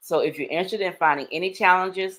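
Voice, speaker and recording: A woman speaks at a fairly low pitch with fairly even intonation. The recording is very clean, with a silent background. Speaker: YouTube tips creator. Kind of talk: live stream chat.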